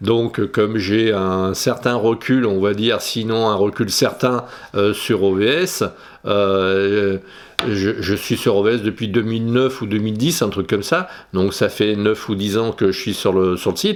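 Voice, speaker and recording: The delivery moves at a fairly slow pace with fairly even intonation. Loudness stays very even throughout. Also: man, fairly low pitch for a man, very clean recording, silent background. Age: 60s. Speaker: photography youtuber. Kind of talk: casual vlog monologue. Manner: halting, many hesitations.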